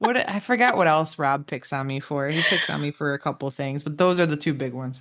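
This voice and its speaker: Very deep, low-pitched woman's voice with an American accent, lively intonation, a fairly quick pace and hardly any pauses, with noticeable background noise. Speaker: true crime podcast co-host. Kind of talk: casual chat.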